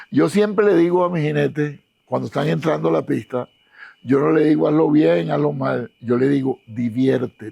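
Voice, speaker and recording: Here a man with a medium pitch and a dark, mellow tone speaks at a moderate pace. His pitch swings very widely. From Venezuela, Caracas. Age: 70s. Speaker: show jumping course designer and coach. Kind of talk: interview. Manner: halting.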